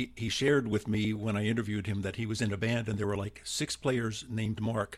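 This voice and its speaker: Somewhat breathy speech at a fairly quick pace, on a very clean recording with a silent background. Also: man. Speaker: researcher and co-host. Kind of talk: casual interview conversation. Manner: hesitant, filler-heavy.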